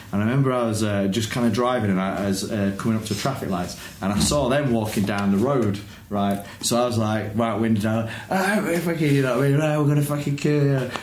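A man with a Yorkshire accent, medium in pitch, with ordinary pitch variation, a fairly quick pace and very even loudness, over noticeable background noise and audible room echo. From northern England (Huddersfield, West Yorkshire). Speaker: football fan guest. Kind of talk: casual chat.

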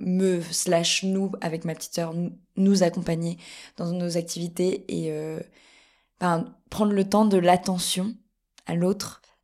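A woman speaks very slowly in a fairly low, dark and mellow voice with a monotone, flat delivery. The recording is very clean, with a silent background. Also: long, frequent pauses. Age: 20s. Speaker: actress and cultural media co-founder. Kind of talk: casual chat. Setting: at a festival in Avignon.

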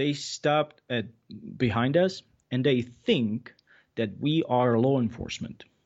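With a Czech accent, a man speaks at a medium pitch and a fairly slow pace, leaving long, frequent pauses. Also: ordinary pitch variation. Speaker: shooting instructor. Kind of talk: casual interview chat. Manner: laid-back, jokes, swears.

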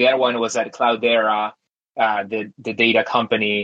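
The man's bright, sharp tone sits at medium pitch in a monotone, flat intonation, with a dry, close sound and no echo. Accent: Spanish. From Argentina, outskirts of Buenos Aires. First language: Spanish. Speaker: tech company founder. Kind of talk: interview.

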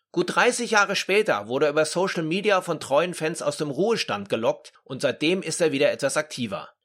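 A high-pitched man with lively intonation and hardly any pauses. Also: fairly quick pace. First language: German. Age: 50s. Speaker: podcast host. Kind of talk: interview; scripted narration.

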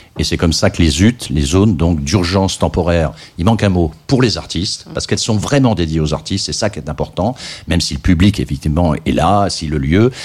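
Fairly quick speech carries lively intonation and vocal fry. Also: man, very deep, low pitch for a man. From France, Loir-et-Cher. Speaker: electronic music scene veteran and jury member. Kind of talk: radio interview. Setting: radio studio.

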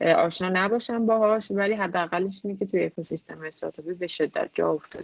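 A woman's medium-pitched voice at a very fast pace. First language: multilingual, grew up with Persian, English and Turkish (speaking Persian). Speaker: UX and product designer. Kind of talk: interview conversation. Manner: hesitant with fillers.

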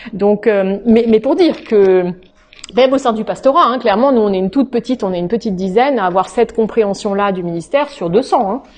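Against noticeable background noise, a woman talks fairly quickly at a fairly high pitch with ordinary pitch variation. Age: 40s. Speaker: pastor. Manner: halting.

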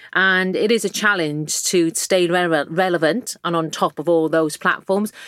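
Speaking with a strong Welsh accent, a woman keeps a fairly slow pace, very even loudness, fairly even intonation and a fairly low pitch. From South Wales valleys. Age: 40s. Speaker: magazine editor-in-chief. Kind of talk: casual interview chat.

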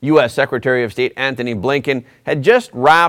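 In a plain, everyday voice, a man speaks at a moderate pace and medium pitch with lively intonation, on a very clean recording with a silent background. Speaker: podcast host. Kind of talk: news commentary.

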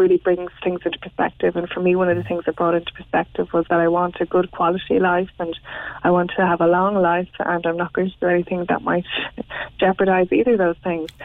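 With an Irish accent, a woman talks at a fairly quick pace in a fairly low pitch with monotone, flat intonation. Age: 30s. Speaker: interviewee on sobriety. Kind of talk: radio interview.

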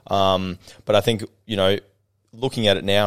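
A man with an unremarkable speaking voice and a fairly low pitch talks at a moderate pace with fairly even intonation. The recording is very clean, with a silent background. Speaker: business owner and sales coach. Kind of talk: casual interview chat. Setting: studio.

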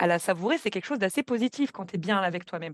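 A woman talks at a medium pitch, the sound dry and close with no echo. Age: 20s. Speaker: podcast guest, program participant. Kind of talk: testimony. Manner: sometimes fast, stumbling.

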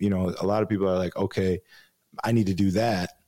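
A man with a Chicago accent talks at a very fast pace in a fairly low voice with a dark, mellow tone. The recording is very clean, with a silent background. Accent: Chicago American. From Chicago, US Midwest. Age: 30s. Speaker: DJ and radio co-host. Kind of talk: casual interview chat.

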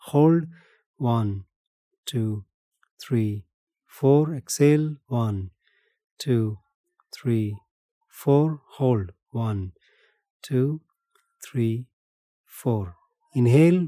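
A man with an Indian accent speaks at a very slow pace with long, frequent pauses, in a medium-pitched voice with a dark, mellow tone and ordinary pitch variation. The sound is dry and close with no echo. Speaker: meditation and breathwork teacher. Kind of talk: interview conversation.

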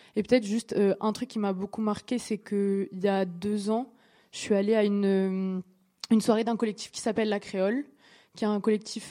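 On a very clean recording with a silent background, a woman speaks at a fairly slow pace and medium pitch, her dark, mellow tone held to a monotone, flat intonation. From Réunion, Saint-Denis. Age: 20s. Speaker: DJ. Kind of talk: live panel conversation. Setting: stage with audience.

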